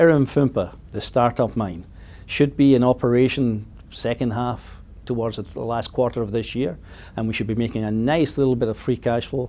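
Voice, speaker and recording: A man speaks with a Scottish accent at a moderate pace. His tone is dark and mellow. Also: medium pitch for a man, ordinary pitch variation. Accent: Scottish, noticeable. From Scotland. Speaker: mining company executive. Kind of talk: interview.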